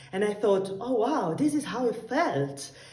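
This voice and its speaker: With noticeable background noise and audible room echo, a woman speaks at a moderate pace. Her medium-pitched voice swings very widely in pitch. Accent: Italian. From Italy. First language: Italian. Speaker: tango dancer. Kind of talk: recorded video message.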